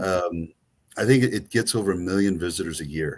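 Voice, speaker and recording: On a very clean recording with a silent background, a man with a very deep, low pitch talks at a moderate pace. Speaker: travel tour presenter. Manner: casual, many filler ums.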